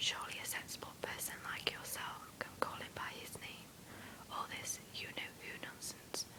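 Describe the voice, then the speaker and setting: Noticeable background noise fills the recording. A person whispers at a moderate pace. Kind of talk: read story. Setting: home with background noise. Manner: whispered.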